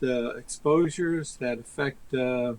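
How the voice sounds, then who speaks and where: Pitch moves in an ordinary way as noticeable background noise runs in the background. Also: man. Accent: American. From New Jersey. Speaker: author and activist. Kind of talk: interview. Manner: halting, many repetitions.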